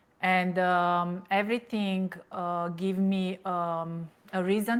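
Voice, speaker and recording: With a Romanian accent, a woman speaks at a medium pitch in a monotone, flat intonation. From Romania, Transylvania. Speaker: toxic relationship coach. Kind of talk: interview testimony. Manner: halting, many fillers.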